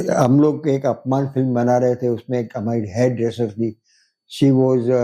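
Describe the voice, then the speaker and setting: In a dark, mellow tone, a man talks at a medium pitch. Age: 80s+. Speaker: film director and producer. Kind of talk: interview answer.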